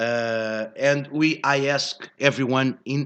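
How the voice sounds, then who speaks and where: A man with a Portuguese accent and fairly even intonation. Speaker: live show host. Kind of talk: live show monologue. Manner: halting.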